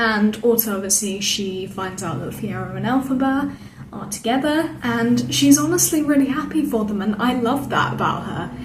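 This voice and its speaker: A fairly high-pitched woman at a moderate pace with lively intonation and hardly any pauses, plus audible room echo and noticeable background noise. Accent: British. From Britain. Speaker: theatre vlogger. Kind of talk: casual review monologue. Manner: enthusiastic, chatty with fillers.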